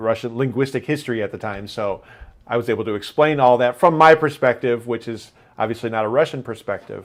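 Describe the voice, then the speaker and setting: A man with an American accent talks at a very fast pace, his medium pitch showing ordinary variation. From United States, Missouri. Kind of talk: casual conversation.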